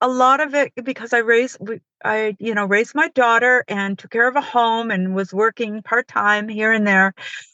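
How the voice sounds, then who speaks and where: A woman is speaking at a moderate pace. Her pitch is fairly high. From upstate New York, Finger Lakes. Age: 60s. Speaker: author. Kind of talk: interview.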